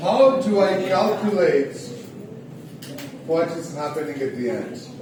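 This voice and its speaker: A loud man speaks at a fairly slow pace in a high pitch with lively intonation. Audible room echo and noticeable background noise surround him. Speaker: economics lecturer. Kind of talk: lecture. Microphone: no microphone.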